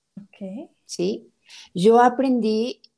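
Recorded with a dry, close sound and no echo, a woman speaks with ordinary pitch variation. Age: 30s. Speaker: nutritionist and family counselor. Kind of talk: interview.

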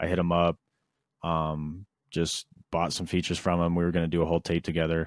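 At a fairly quick pace, a man with a very deep, low voice is heard in a dry, close sound with no echo on a very clean recording with a silent background. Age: 20s. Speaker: rapper and music producer. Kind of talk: casual chat.

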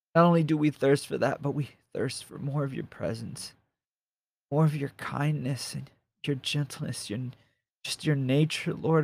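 This man speaks at a moderate pace in a fairly high, somewhat breathy voice. His intonation stays fairly even. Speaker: podcaster who prays with listeners. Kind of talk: fervent spoken prayer, led aloud for listeners. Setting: solo podcast recording. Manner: impassioned, pleading, rhythmic, repetitive; casual, halting, with filler words when talking.

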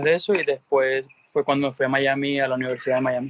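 Using a plain, everyday voice, a man talks at a fairly quick pace with fairly high pitch and fairly even intonation. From Venezuela. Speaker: tennis coach. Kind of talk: interview.

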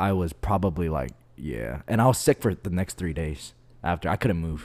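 With lively intonation, a man speaks in a very deep, low pitch. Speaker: podcast host. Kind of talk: casual chat. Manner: laid-back, casual.

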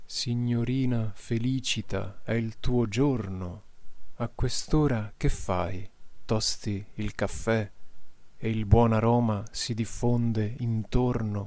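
Speaking at a very slow pace, the man uses a medium pitch and fairly even intonation, with a calm, soothing tone that is dark and mellow. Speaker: meditation guide. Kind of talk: guided meditation, with a poem read aloud in the middle. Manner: slow, calm, soothing, with long pauses.

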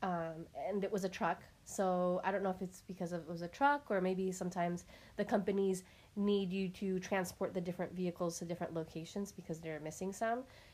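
A woman speaks in a plain, everyday voice at a medium pitch. Her pace is fairly quick and her intonation fairly even. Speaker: podcast host. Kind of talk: casual chat.

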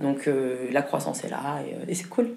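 Delivery is at a moderate pace against noticeable background noise. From Germany (Berlin). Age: 30s. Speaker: start-up founder. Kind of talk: interview.

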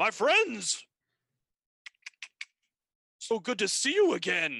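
A man's put-on character voice, raised and projected, high-pitched and very slow. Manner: warm, welcoming.

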